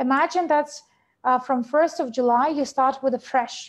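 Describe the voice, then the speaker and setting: Using fairly even intonation, a woman with a non-native accent speaks at a fairly quick pace and a high pitch. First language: not English. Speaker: network marketing trainer. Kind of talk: webinar training presentation. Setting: video webinar. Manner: halting, many fillers.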